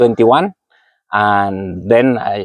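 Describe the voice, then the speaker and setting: At a very slow pace, a man speaks with fairly even intonation in a dry, close sound with no echo. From Argentina. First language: Spanish. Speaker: physiotherapist and running coach. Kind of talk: interview. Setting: outdoors under a tree. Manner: halting, repeats words.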